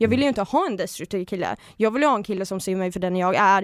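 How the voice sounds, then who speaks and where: A plain, everyday voice at a fairly quick pace with ordinary pitch variation, in a very clean recording with a silent background and a dry, close sound with no echo. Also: woman. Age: 20s. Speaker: reality TV personality. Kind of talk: casual chat. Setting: studio.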